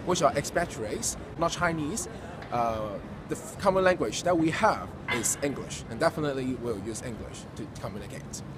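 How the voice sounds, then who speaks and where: A man with a Cantonese accent speaks at a fairly high pitch and a moderate pace, with lively intonation and big swings in loudness. Audible room echo and noticeable background noise surround him. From Hong Kong. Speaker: university student. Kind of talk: interview.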